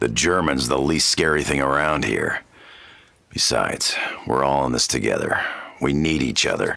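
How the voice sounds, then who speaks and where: A man's put-on character voice, very deep, low and raspy, at a moderate pace with long, frequent pauses, fairly even intonation, and very even loudness. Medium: video game. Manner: sarcastic, casual.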